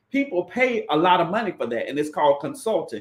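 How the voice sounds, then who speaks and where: A man speaks at a fairly quick pace in an animated tone, his pitch swinging very widely. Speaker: credit repair consultant and livestream host. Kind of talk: live stream talk. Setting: livestream on YouTube and Facebook. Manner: fast.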